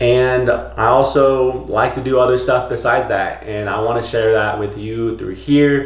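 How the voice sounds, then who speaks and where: The tone is upbeat, and the pace is fairly slow with hardly any pauses. Audible room echo and noticeable background noise surround the voice. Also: man, medium pitch for a man. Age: 20s. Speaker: vlogger and clothing brand owner. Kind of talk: casual vlog. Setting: at home. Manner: whispering; casual, upbeat.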